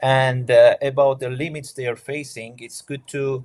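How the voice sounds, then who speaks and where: Somewhat breathy, a man speaks at a medium pitch and a moderate pace. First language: not English. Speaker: asylum seeker, scholarship student. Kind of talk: panel discussion. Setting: online event. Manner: halting, many fillers.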